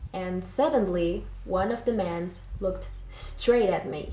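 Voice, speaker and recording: A woman with a non-native accent, medium pitch and a dark, mellow tone speaks at a fairly slow pace in audible room echo. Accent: non-native English accent, self-described. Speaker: YouTuber and digital artist. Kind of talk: storytelling; casual vlog explanation.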